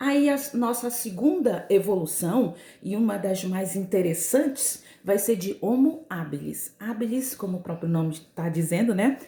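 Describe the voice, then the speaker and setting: Noticeable background noise sits behind a woman's voice. She talks at a fairly slow pace and medium pitch with lively intonation. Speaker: school teacher. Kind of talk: recorded lesson.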